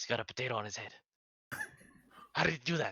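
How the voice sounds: Using a put-on character voice, a man talks at a very fast pace.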